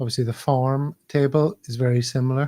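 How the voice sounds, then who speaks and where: In a Northern Irish accent, a man with a medium-pitched, dark, mellow and somewhat breathy voice speaks at a fairly slow pace with fairly even intonation, the sound dry and close with no echo. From Belfast, Northern Ireland. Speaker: football podcast host. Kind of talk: casual chat.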